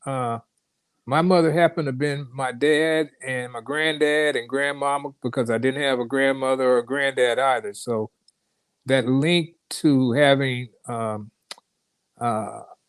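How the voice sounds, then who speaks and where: At a fairly slow pace, a man speaks at a medium pitch with fairly even intonation. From San Francisco, California (Fillmore). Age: 60s. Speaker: former professional baseball pitcher. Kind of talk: interview, personal life story. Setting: live stream. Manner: halting, many fillers.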